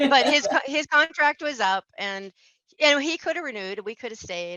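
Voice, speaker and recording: In an American accent, the voice makes very wide pitch swings and big swings in loudness. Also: woman, high pitch for a woman. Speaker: small business owner, interior designer. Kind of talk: interview. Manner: fast.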